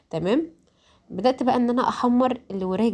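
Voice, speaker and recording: A woman with an Egyptian accent speaks at a moderate pace. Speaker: home cooking youtuber. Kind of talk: cooking tutorial voice-over. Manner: halting, many fillers and restarts; casual, conversational.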